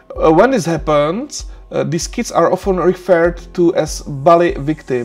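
Faint music plays in the background as a man with a non-native accent talks at a moderate pace. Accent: non-native English speaker. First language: Czech. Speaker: university lecturer. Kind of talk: lecture. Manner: hesitant, many filler sounds. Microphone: webcam.

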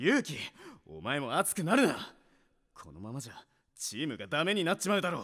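A man's cartoonish character voice, fairly high and fairly bright, with very wide pitch swings at a fairly quick pace, on a very clean recording with a silent background

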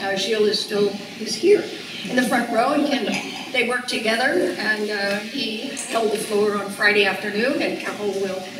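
The speech comes at a moderate pace. There is audible room echo and noticeable background noise. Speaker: archaeologist, event host. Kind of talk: speaker introduction. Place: hall.

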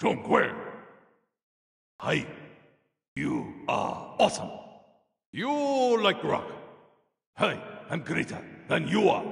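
Using a put-on character voice with a fairly high pitch, the speaker goes at a very slow pace, broken by long, frequent pauses. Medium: dub.

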